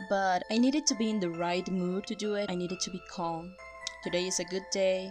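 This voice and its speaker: A woman speaks at a fairly quick pace with music in the background. Her pitch is medium. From Mexico. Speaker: artist. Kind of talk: casual rant review to camera.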